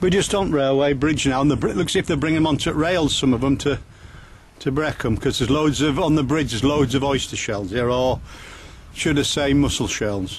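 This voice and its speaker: A man talks at a fairly quick pace with ordinary pitch variation and very even loudness, in a dry sound with no echo and light background noise. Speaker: walk guide filming. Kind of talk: casual walking commentary. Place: waterside. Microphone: phone near.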